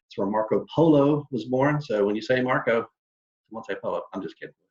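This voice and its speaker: This voice has a North Carolina accent. Its intonation is lively. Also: man. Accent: Southern US (North Carolina). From North Carolina, Charlotte area. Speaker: tour company sales representative. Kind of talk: online presentation. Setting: video call.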